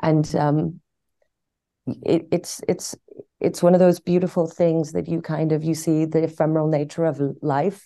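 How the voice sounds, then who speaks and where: A woman's very deep, low voice in a dark, mellow tone, monotone and flat, at a fairly slow pace with long, frequent pauses against a quiet background. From Iran, then London. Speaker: actress. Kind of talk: interview.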